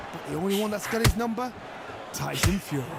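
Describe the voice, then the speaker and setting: An animated man's voice with lively intonation over noticeable background noise. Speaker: boxing pundit. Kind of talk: live commentary.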